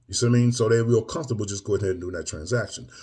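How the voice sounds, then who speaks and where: A somewhat breathy male voice of medium pitch, dark and mellow in tone. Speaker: M&A business coach. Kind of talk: casual video update. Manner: preachy, emphatic; filler-heavy, conversational.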